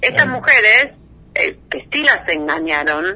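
Noticeable background noise accompanies a woman with a Rioplatense accent whose pitch swings very widely. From Argentina, Buenos Aires province (conurbano). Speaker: investigative journalist. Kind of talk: interview.

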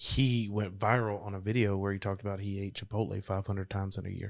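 A man speaks with a Louisiana accent. His pitch sits fairly low. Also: very clean recording, silent background. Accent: Louisiana Southern US. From Louisiana, US South. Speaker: motivational speaker and business coach. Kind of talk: casual chat.

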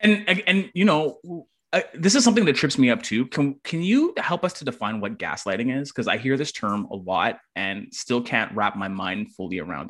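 A man with a fairly high pitch speaks at a moderate pace, his voice making very wide pitch swings and big swings in loudness. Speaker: podcast host. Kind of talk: casual discussion podcast.

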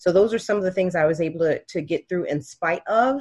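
Speaking at a fairly quick pace with an American accent, a woman sounds somewhat breathy. Her pitch varies in an ordinary way, and the background is quiet. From Miami, Florida. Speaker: state legislator and attorney. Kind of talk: interview.

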